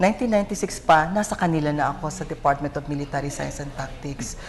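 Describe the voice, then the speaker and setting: A woman speaks at a fairly quick pace with a very deep, low pitch and ordinary pitch variation. Noticeable background noise is present. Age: 60s. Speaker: ROTC commandant and university professor. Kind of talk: TV interview.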